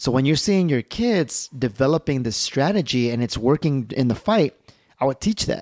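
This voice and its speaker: An ordinary speaking voice from a man with an American accent, medium in pitch, with lively intonation, very even loudness and a moderate pace, in a very clean recording, silent background, and a dry, close sound with no echo. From Chicago, Little Village. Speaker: martial artist. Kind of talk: casual chat.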